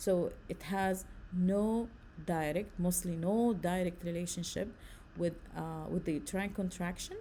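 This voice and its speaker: A woman with a fairly low pitch, a dark, mellow tone and a somewhat breathy sound speaks at a moderate pace. Her intonation stays fairly even amid audible room echo. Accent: Arabic. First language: Arabic. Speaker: nursing lecturer. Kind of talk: lecture.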